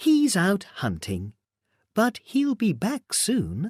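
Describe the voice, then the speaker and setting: Over a very clean recording with a silent background, a man puts on a character voice, high in pitch and calm in tone, speaking at a very slow pace. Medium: read story. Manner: calm, sly.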